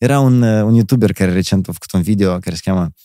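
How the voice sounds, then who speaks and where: This man speaks fairly quickly in a fairly low, dark and mellow voice with a Moldovan accent and ordinary pitch variation, recorded dry and close with no echo on a very clean track with a silent background. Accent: Moldovan Romanian. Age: 30s. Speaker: performer and entertainer. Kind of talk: casual chat.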